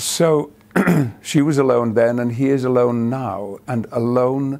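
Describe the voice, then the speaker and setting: A man's medium-pitched voice with an English accent, dark and mellow in tone, at a fairly slow pace with ordinary pitch variation. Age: 70s. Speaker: actor. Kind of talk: interview answer.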